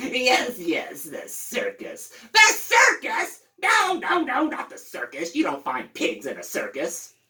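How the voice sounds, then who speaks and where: His put-on character voice is pitched extremely high. The man's delivery is fairly slow. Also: hardly any pauses. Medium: read story. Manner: grouchy, cackling.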